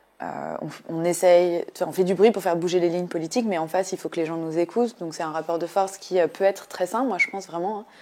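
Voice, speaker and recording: Hardly pausing, this dark, mellow voice races along at a very fast pace with fairly even intonation. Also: woman, fairly low pitch for a woman. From rural France. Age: 20s. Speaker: political candidate. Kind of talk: interview. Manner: halting, many fillers.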